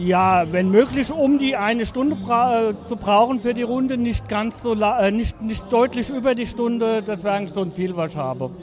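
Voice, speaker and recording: A high-pitched man with hardly any pauses, over noticeable background noise. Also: ordinary pitch variation, moderate pace. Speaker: amateur cyclist. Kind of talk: casual interview.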